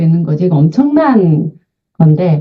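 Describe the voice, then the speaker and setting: Her pitch swings very widely. The woman talks at a moderate pace, somewhat breathy. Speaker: invited lecturer on senior health. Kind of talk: online lecture.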